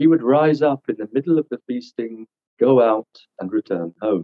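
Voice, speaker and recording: A man talks at a moderate pace, and the background is quiet. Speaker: seminar teacher. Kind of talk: reading aloud from a book. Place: home room. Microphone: video call.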